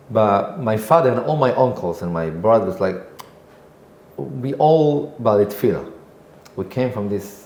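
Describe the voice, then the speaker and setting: This speaker talks at a fairly slow pace in an Israeli accent, with very wide pitch swings, long, frequent pauses, and noticeable background noise. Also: man, medium pitch for a man. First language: Hebrew. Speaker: singer and composer. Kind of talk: podcast interview answer.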